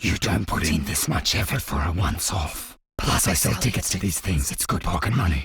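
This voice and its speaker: A man's cartoonish character voice, very deep and low, at a fairly quick pace with hardly any pauses. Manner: casual, wry.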